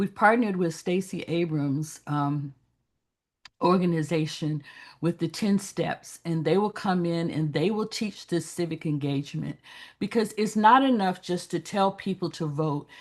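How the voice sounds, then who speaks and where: Speaking at a fairly slow pace, a woman with a normal speaking voice and an American accent uses a fairly low pitch with ordinary pitch variation. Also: quiet background. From US South, Birmingham, Alabama. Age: 60s. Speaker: pastor and activist. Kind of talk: panel discussion.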